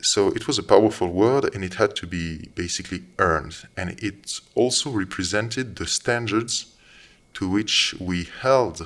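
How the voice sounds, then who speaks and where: A man with a non-native accent speaks at a very slow pace and a very deep, low pitch, with ordinary pitch variation. The recording is very clean, with a silent background. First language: not English. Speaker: commentator. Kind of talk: monologue commentary. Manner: halting.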